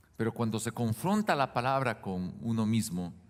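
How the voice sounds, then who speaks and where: Recorded very cleanly against a silent background, a man speaks at a fairly slow pace in a medium pitch with ordinary variation. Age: 60s. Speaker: pastor. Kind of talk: sermon. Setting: church.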